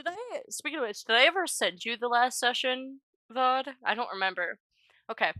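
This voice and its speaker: A high-pitched woman speaks in a raised, projected voice with a bright, sharp tone and lively intonation. The sound is dry and close, with no echo. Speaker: tabletop game player and streamer. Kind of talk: casual chat. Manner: fast.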